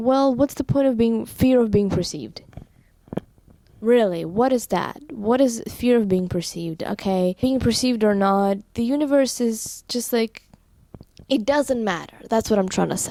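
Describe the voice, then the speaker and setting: A woman's fairly high, dark, mellow voice with a non-native accent. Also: ordinary pitch variation, moderate pace. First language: not English. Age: 18. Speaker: vlogger. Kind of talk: casual vlog monologue. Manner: halting, with fillers.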